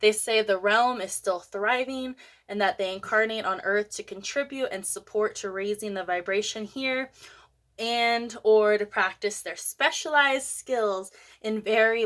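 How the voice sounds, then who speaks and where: On a very clean recording with a silent background, a woman speaks at a moderate pace with a fairly high pitch and fairly even intonation. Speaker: spiritual content creator. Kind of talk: casual tutorial monologue. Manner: halting over pronunciations.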